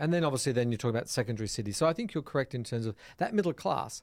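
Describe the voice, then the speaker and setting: A man with an Australian accent, medium pitch and lively intonation, in a very clean recording with a silent background. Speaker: hospitality software entrepreneur. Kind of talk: casual interview. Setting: studio.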